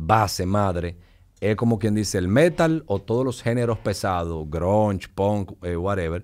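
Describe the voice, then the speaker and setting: A man with a fairly low voice talks at a moderate speed and normal pitch movement over a quiet background. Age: 40s. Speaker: business executive; podcast guest. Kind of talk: casual chat. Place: studio. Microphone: studio mic.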